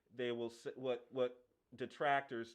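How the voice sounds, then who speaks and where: This man has a plain, everyday voice at a medium pitch with ordinary pitch variation. He talks at a moderate pace. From Washington DC area, Prince George's County, Maryland. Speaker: sports podcast host. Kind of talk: casual chat. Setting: live stream.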